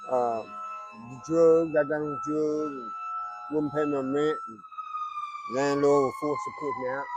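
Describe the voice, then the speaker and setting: With an American accent, a man speaks at a very slow pace as music plays behind him and the room echoes audibly. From North Carolina. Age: 60s. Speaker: homeless man interviewed. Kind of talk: street interview. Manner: halting, repeats words.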